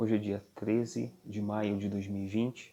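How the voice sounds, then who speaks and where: Quiet and fairly low-pitched, a man talks with fairly even intonation while music plays in the background. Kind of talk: religious commentary. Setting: at home.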